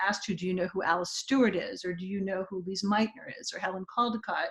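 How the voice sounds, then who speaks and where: At a medium pitch, a woman speaks with fairly even intonation. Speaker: academic panelist. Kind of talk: academic presentation. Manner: halting, many fillers.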